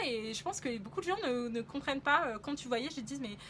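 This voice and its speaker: A quick-paced woman's high-pitched voice, bright and sharp in tone, with ordinary pitch variation. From France. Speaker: travel vlogger. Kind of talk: casual travel vlog monologue. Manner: hesitant, many fillers.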